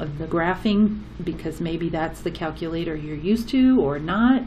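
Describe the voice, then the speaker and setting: Noticeable background noise and audible room echo accompany this recording. A woman with a fairly low pitch speaks at a moderate pace, using ordinary pitch variation. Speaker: math teacher. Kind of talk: tutorial.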